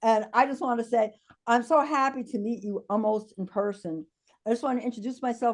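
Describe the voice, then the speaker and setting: Talking at a fairly quick pace, a woman with a New York accent has a fairly high pitch and ordinary pitch variation. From New York City (the Bronx). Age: 70s. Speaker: diversity and inclusion consultant. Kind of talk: video call town hall contribution.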